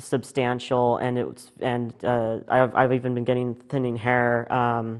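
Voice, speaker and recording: Speaking at a very slow pace, a man talks at a medium pitch. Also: hardly any pauses. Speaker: guest on LGBT TV talk show. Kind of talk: interview. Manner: halting, many fillers.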